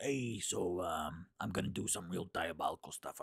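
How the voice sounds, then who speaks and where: Putting on a character voice, a man speaks raspy and very deep, at a very low pitch. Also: moderate pace. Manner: diabolical, menacing, playful.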